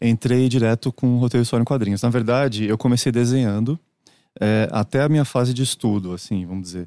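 This man has a medium pitch and a dark, mellow tone, talking at a very fast pace with ordinary pitch variation in a very clean recording with a silent background and a dry, close sound with no echo. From Brazil, Santos (São Paulo state). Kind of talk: casual chat.

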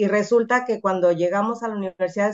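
A woman's normal speaking voice at medium pitch, fairly quick in pace, with ordinary pitch variation. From Mexico, Mazatlán, Sinaloa. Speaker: computer science professor and researcher. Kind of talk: interview.

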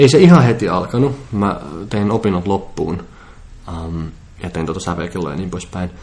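His pitch is very deep and low, yet this man's intonation is lively. He goes at a fairly slow pace, with big swings in loudness. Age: 20s. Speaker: composer, futurist and public speaker. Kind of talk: casual interview chat.

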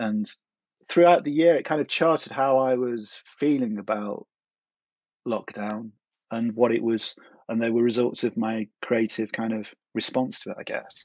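Long, frequent pauses break up a man's medium-pitched speech, recorded with a dry, close sound and no echo. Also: ordinary pitch variation, moderate pace. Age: 40s. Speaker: glass etcher and craftsman. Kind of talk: interview. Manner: hesitant, with many fillers.

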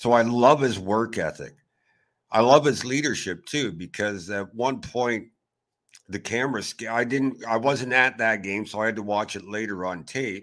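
In a very clean recording with a silent background, a man talks at a moderate pace and medium pitch with ordinary pitch variation in an ordinary speaking voice. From Canada. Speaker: hockey blogger. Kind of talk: casual chat.

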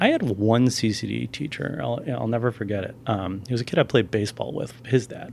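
A man with an American accent and a medium-pitched voice, some vocal fry, ordinary pitch variation, a moderate pace and hardly any pauses. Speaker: film critic and writer. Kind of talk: casual chat.

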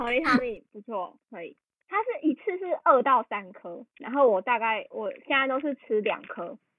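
A woman speaks at a moderate pace in a high voice, with very wide pitch swings and big swings in loudness. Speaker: podcast co-host. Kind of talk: casual chat.

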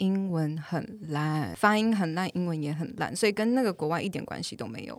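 Here is a woman with an unremarkable speaking voice, medium in pitch and lively in intonation. She talks at a fairly quick pace in a very clean recording with a silent background. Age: 20s. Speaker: English teacher. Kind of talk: casual chat.

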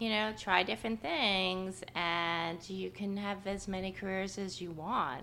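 A woman speaks with an American accent at a fairly slow pace. Her medium-pitched voice has a bright, sharp tone. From New York. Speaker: market researcher. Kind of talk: casual interview. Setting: her apartment.

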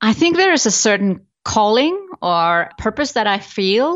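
The speaker talks at a fairly slow pace with an Icelandic accent. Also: woman. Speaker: business coach. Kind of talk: interview.

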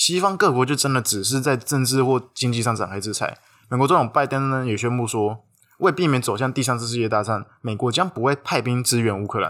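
In a plain, everyday voice, the speaker moves at a fairly quick pace with ordinary pitch variation, on a very clean recording with a silent background. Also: man, medium pitch for a man. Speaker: podcast co-host. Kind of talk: scripted discussion of news. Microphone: non-studio recording, sharper thinner sound.

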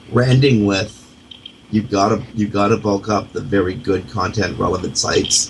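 With a Canadian accent, a man talks at a moderate pace and with fairly even intonation against noticeable background noise. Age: 40s. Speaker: radio host. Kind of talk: internet radio talk show.

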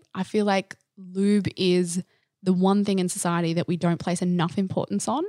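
In an Australian accent, a woman speaks at a moderate pace and medium pitch with ordinary pitch variation, on a very clean recording with a silent background and a dry, close sound with no echo. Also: very even loudness. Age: 30s. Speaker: sexologist. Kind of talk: casual chat.

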